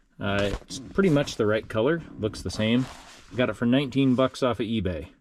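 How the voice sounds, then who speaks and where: Speaking at a moderate pace and medium pitch, a man has a plain, everyday voice with lively intonation. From United States. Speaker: DIY car repair YouTuber. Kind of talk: casual tutorial vlog. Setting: home workshop, then wrecking yard.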